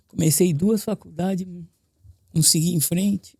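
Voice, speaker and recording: A man with a high pitch and a dark, mellow tone talks at a fairly slow pace, his pitch varying in an ordinary way. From São Paulo, Brazil. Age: 60s. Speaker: building cleaner. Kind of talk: interview. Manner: halting.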